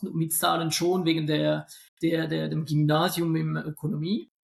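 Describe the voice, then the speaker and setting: A man speaks with a non-native accent. His pitch is high. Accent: noticeable accent, weak Swiss German. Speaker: statistics lecturer and investment expert. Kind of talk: podcast interview. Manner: hesitant, many fillers and repetitions.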